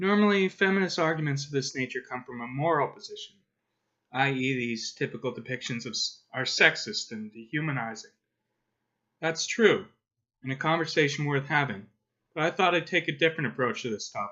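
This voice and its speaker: A man at a fairly quick pace, with lively intonation and long, frequent pauses. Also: fairly high pitch for a man. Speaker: comics commentator. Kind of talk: video essay narration.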